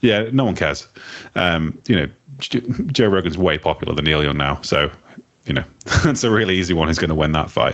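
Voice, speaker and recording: A man talks with a very deep, low pitch and lively intonation, in an English accent. His loudness stays very even, long pauses come often, and background noise is noticeable. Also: fairly quick pace. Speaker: podcast co-host. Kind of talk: casual chat.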